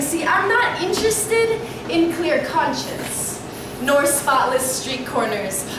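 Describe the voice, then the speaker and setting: Speech comes at a fairly slow pace, with audible room echo and noticeable background noise. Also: woman. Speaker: slam poet. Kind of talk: sensual spoken word poetry performance. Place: shop. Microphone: camera far.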